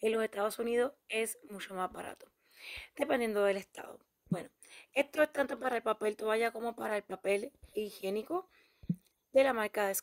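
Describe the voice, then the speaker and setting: With a dry, close sound and no echo, a woman speaks at a moderate pace in a fairly high voice, using ordinary pitch variation and leaving long, frequent pauses. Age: 40s. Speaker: YouTuber, couponing channel host. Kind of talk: shopping deals tutorial.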